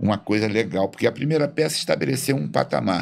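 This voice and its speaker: A man speaks with a Rio de Janeiro accent and vocal fry. His pitch swings very widely. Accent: Carioca Brazilian Portuguese. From Rio de Janeiro, Brazil. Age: 60s. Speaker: stage actor. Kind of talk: interview conversation. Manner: halting with repetitions.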